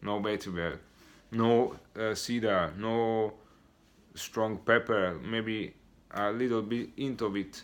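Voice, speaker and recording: Over a very clean recording with a silent background, a man speaks at a medium pitch and a very slow pace. His intonation is fairly even, broken by long, frequent pauses. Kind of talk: product review talk to camera. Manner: stuttering, hesitant.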